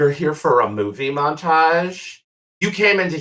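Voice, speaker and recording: Putting on a character voice, a man speaks at a moderate pace. His fairly high voice has lively intonation. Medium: actual play. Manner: flamboyant, warm, teasing.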